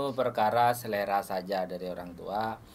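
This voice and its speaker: A man at a fairly slow pace. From Madura, Indonesia. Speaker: podcast host, sitcom actor. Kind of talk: casual interview chat.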